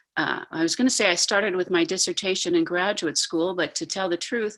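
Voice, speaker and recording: Speaking at a moderate pace, a woman has a normal speaking voice with fairly low pitch. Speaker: professor. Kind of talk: online panel discussion.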